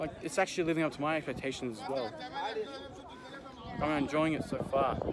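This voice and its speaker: Crowd noise fills the background while the speaker goes at a fairly quick pace with ordinary pitch variation. The sound is dry, with no echo. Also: man, fairly high pitch for a man. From Australia. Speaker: travel vlogger. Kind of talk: casual vlog talk to camera. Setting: outdoors. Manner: excited, enthusiastic. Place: open country. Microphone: phone near.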